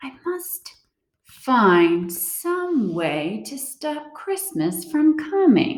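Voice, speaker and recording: A woman puts on a growling, high-pitched character voice, speaking very slowly with very wide pitch swings and big swings in loudness. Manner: growling, scheming.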